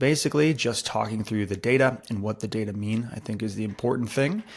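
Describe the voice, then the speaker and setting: A man speaks quietly in a very clean recording with a silent background. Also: hardly any pauses. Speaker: real estate agent. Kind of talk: market update talk to camera. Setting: at home, early morning. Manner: quiet, hushed; casual with fillers.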